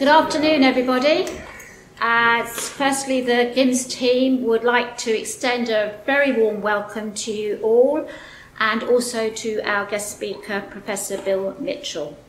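Audible room echo and light background noise frame a voice at a fairly slow pace with ordinary pitch variation. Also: woman, high pitch for a woman. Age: 60s. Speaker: activist event organiser. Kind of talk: prepared speech. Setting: stage with audience. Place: hall. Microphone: podium.

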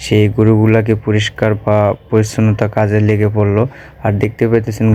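A man with a fairly low pitch and monotone, flat intonation, over noticeable background noise. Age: 20s. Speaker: video blogger. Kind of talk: vlog voice-over narration.

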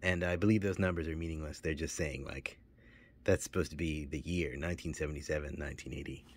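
Speaking at a moderate pace, a man with a very deep, low pitch and vocal fry keeps his intonation fairly even, with a dry sound and no echo. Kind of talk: casual collection tour. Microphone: phone near.

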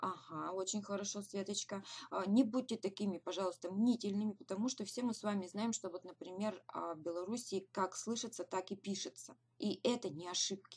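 A woman talks at a moderate pace in a medium-pitched, somewhat breathy voice. Her pitch varies in an ordinary way. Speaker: direct sales team leader; webinar host. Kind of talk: webinar. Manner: hesitant fillers. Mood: encouraging, motivational. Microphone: webcam.

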